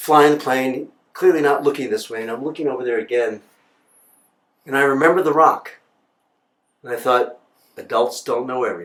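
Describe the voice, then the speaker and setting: A man with an American accent speaks with a fairly high pitch. He leaves long, frequent pauses. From New York City, Upper West Side. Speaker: broadcast journalist. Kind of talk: personal storytelling. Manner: casual, halting with fillers.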